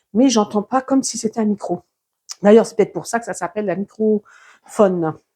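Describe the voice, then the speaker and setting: A woman speaks at a fairly slow pace and a medium pitch, with lively intonation. The sound is dry and close with no echo, on a very clean recording with a silent background. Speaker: YouTuber testing a microphone. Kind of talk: product test demonstration. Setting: at home, walking between rooms. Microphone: cheap clip-on lavalier mic on collar.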